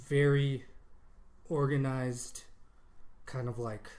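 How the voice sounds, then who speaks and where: A man's fairly high voice with an American accent and audible room echo. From Colorado. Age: 30s. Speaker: podcast co-host. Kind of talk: casual chat. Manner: hesitant, many fillers.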